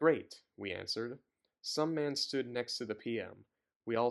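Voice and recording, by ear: With ordinary pitch variation, someone reads aloud in a natural voice while the background stays quiet.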